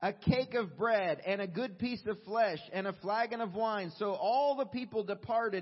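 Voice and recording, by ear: The speaker is reading aloud in a natural voice. Pitch variation is ordinary.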